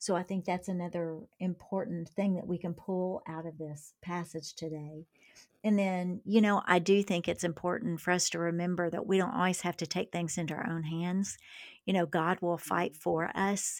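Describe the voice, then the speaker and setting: A normal speaking voice with an American accent moves at a moderate pace with fairly even intonation. The recording is very clean with a silent background. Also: woman, fairly low pitch for a woman. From Kentucky, US South. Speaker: author, speaker, church missions coordinator. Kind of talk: casual conversational interview.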